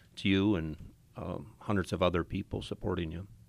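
In a Wisconsin accent, a man talks at a fairly quick pace with a very deep, low pitch and vocal fry. His pitch variation is ordinary, and the recording is very clean with a silent background. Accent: Upper Midwest (Wisconsin) American. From Wisconsin (Appleton). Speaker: circuit court judge. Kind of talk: radio interview.

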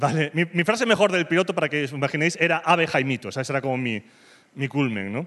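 A man talks at a very fast clip with lively intonation and a fairly high pitch. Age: 30s. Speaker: comedian. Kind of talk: stand-up. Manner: animated.

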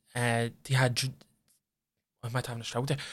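On a very clean recording with a silent background, a man speaks at a medium pitch in an Irish accent with monotone, flat intonation. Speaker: podcast co-host. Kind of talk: casual chat.

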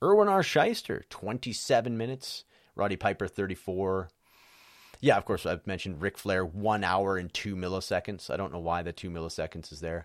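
A normal speaking voice from a man, fairly low in pitch with ordinary pitch variation, big swings in loudness and a fairly quick pace, on a very clean recording with a silent background and a dry, close sound with no echo. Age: 40s. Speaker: wrestling podcast host. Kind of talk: solo casual commentary.

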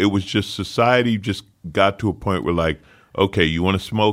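A loud voice on a very clean recording with a silent background. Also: man. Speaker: podcast host; comedian. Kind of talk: casual chat.

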